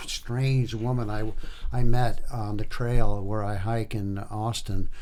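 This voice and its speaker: In a Quebec accent, a man with a medium-pitched, dark and mellow voice speaks very slowly and with fairly even intonation, in a room with audible echo. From Quebec, Hull (Gatineau). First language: French. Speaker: singer-songwriter. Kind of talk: interview. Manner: halting.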